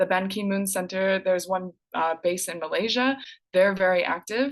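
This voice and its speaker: A woman in an American accent at medium pitch, with ordinary pitch variation and a moderate pace. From United States. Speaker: education sustainability specialist, presenter. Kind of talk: conference presentation. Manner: animated.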